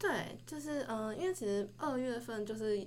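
An unremarkable speaking voice from a woman, medium in pitch, at a moderate pace. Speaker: university student. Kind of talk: casual chat.

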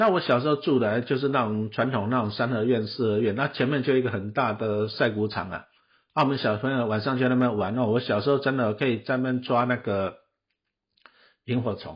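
At a fairly quick pace, a man talks in a somewhat breathy, medium-pitched voice with fairly even intonation. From Taiwan, Taipei Beitou. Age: 50s. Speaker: podcast host, investment author. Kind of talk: solo talk about his book. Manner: casual, many filler particles.

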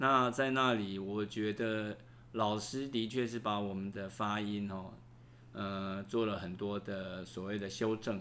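Using a bright, sharp tone, a man with a fairly low pitch speaks at a very slow pace with fairly even intonation. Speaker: university professor. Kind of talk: interview. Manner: halting.

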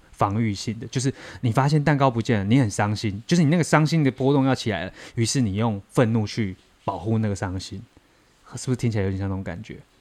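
A man speaks at a very fast pace in a medium pitch with ordinary pitch variation. His tone is animated. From southern Taiwan. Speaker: podcast co-host acting as listener. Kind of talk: casual chat. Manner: animated, laughing often.

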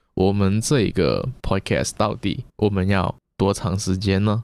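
A man with a Macau accent speaks at a fairly slow pace. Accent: Macau Cantonese-accented Mandarin. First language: Cantonese (speaking Chinese). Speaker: podcast co-host. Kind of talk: casual chat.

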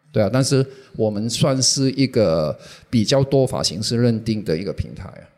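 Dark, mellow tone from a man at medium pitch, moderate pace, ordinary pitch variation, and big swings in loudness. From Hong Kong. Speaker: social media manager, former magazine publisher. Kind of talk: interview. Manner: halting.

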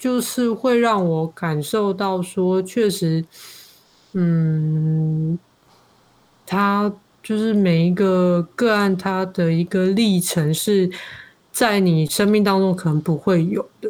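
A woman's medium-pitched voice, very slow, with very even loudness and ordinary pitch variation, on a very clean recording with a silent background. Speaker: podcaster and social worker. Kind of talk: casual interview.

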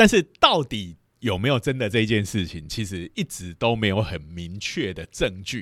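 A man with a normal speaking voice, fairly low in pitch with ordinary variation, big swings in loudness and hardly any pauses, in a dry, close sound with no echo and a very clean recording over a silent background. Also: moderate pace. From Taiwan, Lukang (Changhua). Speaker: physics professor, podcast host. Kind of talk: lecture; casual chat.

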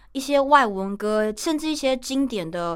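Its pitch rises and falls across a very wide range. The pace sits at a moderate speed. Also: woman. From Taiwan. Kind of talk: casual radio interview. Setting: radio studio. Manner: cheerful, lively, talkative.

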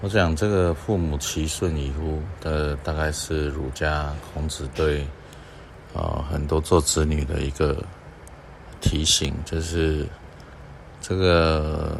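With audible room echo around him, a man with a very deep, low pitch speaks at a very slow pace, making long, frequent pauses. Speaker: doctor and podcast host. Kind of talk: reflective monologue talk. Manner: unhurried with frequent filler sounds.

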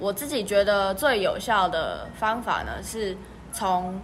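Audible room echo surrounds a woman as she speaks. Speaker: podcast co-host, student. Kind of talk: casual chat.

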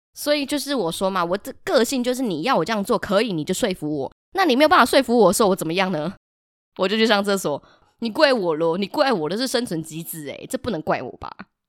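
In a very clean recording with a silent background, a woman talks very fast with very wide pitch swings. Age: young. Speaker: podcast host, teacher. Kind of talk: casual solo chat.

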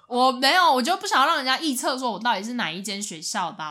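In a very clean recording with a silent background, a woman talks at a very fast pace. Her high-pitched voice has a bright, sharp tone and very wide pitch swings. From Taiwan, outside Taipei. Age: 20s. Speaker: podcast co-host. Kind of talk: casual chat.

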